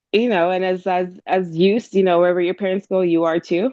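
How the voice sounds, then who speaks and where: A woman speaks in an ordinary speaking voice. Her pitch is fairly low and her intonation fairly even. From Jamaica, moved to Hamilton, Canada at about 12. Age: 30s. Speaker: event planner and entrepreneur. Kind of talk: interview conversation. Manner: casual, many fillers and restarts.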